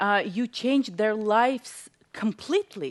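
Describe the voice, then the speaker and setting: Lively intonation from a woman with a non-native accent, fairly high in pitch, against a quiet background. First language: not English. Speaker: talk show host. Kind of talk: interview.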